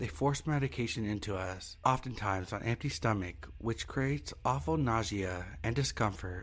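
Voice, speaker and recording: At a moderate pace, a man with a fairly low pitch uses lively intonation and vocal fry. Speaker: horror story narrator. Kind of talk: scripted horror story narration, read aloud. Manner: grave, measured, somber.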